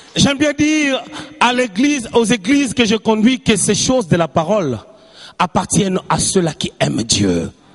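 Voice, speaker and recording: Noticeable background noise sits behind this recording. A man with a high pitch speaks at a fairly slow pace. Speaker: preacher. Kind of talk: sermon. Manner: animated.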